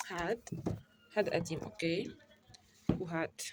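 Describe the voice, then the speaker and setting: A woman speaking with fairly even intonation. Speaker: university student vlogger. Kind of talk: casual vlog. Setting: at home in bedroom.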